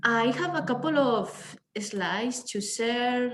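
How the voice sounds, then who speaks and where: With a Spanish accent, a woman speaks in a somewhat breathy voice. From Spain. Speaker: researcher. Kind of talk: academic presentation.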